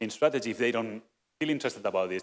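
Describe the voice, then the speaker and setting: A man speaks with ordinary pitch variation. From Mediterranean Europe. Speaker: software community manager. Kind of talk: conference talk. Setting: conference stage with audience. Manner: fast.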